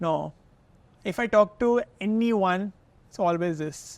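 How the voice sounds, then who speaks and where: A man with ordinary pitch variation, a dry, close sound with no echo, and a quiet background. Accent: Indian. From India, Kolkata. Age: 30s. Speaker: health content creator. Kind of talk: podcast interview. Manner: mixes Hindi and English.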